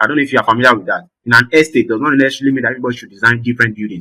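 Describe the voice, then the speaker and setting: The man's voice has a bright, sharp tone. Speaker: design teacher. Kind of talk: online class lecture. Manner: fast.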